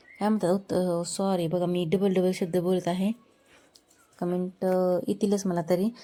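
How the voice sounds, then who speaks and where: A woman speaks with a dark, mellow tone and very even loudness. Her intonation stays monotone and flat. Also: medium pitch for a woman. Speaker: cooking vlogger. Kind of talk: cooking vlog tutorial. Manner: occasional slurring, repeated words.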